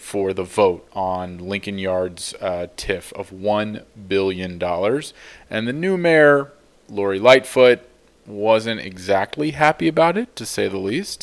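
An unremarkable speaking voice with an American accent moves at a fairly slow pace. The recording is very clean, with a silent background. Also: man. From US Midwest, Chicago area. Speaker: podcast co-host. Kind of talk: casual debate between friends.

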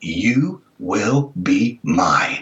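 A man puts on a growling character voice at a medium pitch. His pitch swings very widely. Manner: spooky, freaky.

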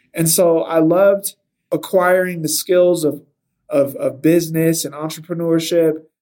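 A man speaks with a Californian accent at a high pitch, his tone dark and mellow. His pace is fairly slow, and his intonation is monotone and flat. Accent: Californian American English. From Southern California. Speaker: video game developer and sci-fi author. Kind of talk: casual interview.

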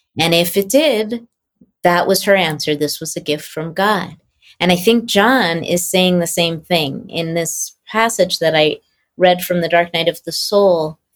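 At a fairly slow pace, a woman speaks in a plain, everyday voice with a fairly low pitch and ordinary pitch variation. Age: 60s. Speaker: author and translator of mystical texts. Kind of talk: casual conversation.

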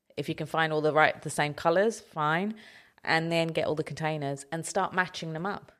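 A woman with an ordinary speaking voice talks at a moderate pace in a fairly low pitch on a very clean recording with a silent background. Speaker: professional organizer and podcast host. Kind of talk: casual chat. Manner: teasing, playful, laughs often.

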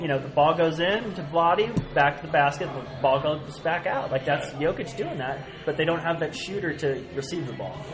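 At a moderate pace with hardly any pauses, the speaker shows ordinary pitch variation over noticeable background noise. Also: man, fairly high pitch for a man. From San Francisco Bay Area. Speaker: podcast host and sports commentator. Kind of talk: casual roundtable chat. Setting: recording live at a sports bar.

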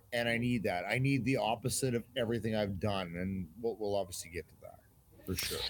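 A normal speaking voice with a Canadian accent moves at a fairly quick pace. Pitch varies in an ordinary way. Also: man, fairly low pitch for a man. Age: 50s. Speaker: army veteran. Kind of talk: casual interview.

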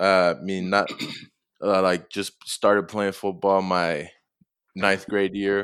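A man speaks with a Tongan accent. His pitch is fairly low and his pace fairly slow. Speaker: college football player. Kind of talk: interview.

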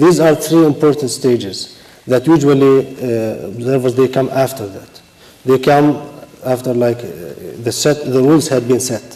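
A man with an Arabic accent, medium pitch and ordinary pitch variation, at a fairly slow pace, over noticeable background noise. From Palestine. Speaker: election administrator. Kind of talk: panel discussion. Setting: stage with audience.

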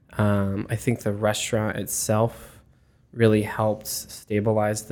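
A man with an American accent talks in a fairly low pitch and monotone, flat intonation, recorded very cleanly with a silent background. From Arizona. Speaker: bar manager. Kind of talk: casual interview.

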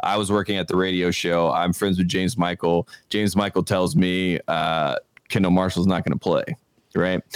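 A man speaks with an American accent at a very deep, low pitch. His loudness stays very even and his intonation fairly even. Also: moderate pace. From US South, small-town North Carolina. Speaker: podcast host and sports media producer. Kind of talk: casual interview chat.

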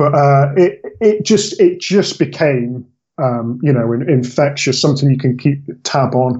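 With a slight West Country accent, a man speaks at a fairly slow pace in a fairly high, somewhat breathy voice. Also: ordinary pitch variation. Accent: slight West Country twang. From Bristol, England. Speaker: football fan, podcast guest. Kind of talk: casual interview chat.

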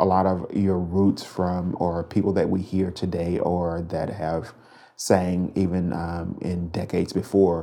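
An American-accented man, very deep and low in pitch, dark and mellow in tone, with monotone, flat intonation and a quiet background. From Mississippi. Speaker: gospel music director. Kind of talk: interview.

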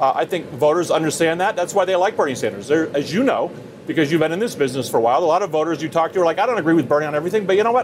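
The speech moves at a very fast pace with lively intonation. Background noise is noticeable. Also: man, high pitch for a man. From Vermont. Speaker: campaign adviser. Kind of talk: live TV interview. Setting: outdoors.

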